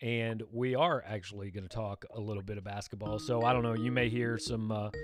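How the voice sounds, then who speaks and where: A man at a medium pitch and fairly quick pace, with fairly even intonation and music in the background. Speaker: sports show host. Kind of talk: live sports talk stream. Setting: live stream with Skype guest. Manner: loud.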